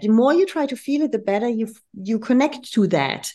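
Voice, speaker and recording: This woman speaks with a German accent. Her tone is dark and mellow. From Germany. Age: 50s. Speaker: leadership and communication consultant. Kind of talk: interview conversation. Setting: video call.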